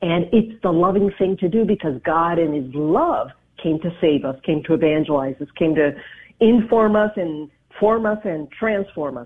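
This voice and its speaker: A woman with an American accent has a plain, everyday voice at a fairly low pitch. Her intonation is lively and her pace moderate. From US and Dominican Republic. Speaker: radio show host. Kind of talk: interview.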